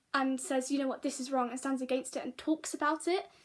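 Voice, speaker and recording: With a British accent, a woman speaks in a high pitch and fairly even intonation. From Britain. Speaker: vlogger. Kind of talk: casual vlog monologue. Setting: sitting, talking to camera. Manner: halting, many fillers and restarts.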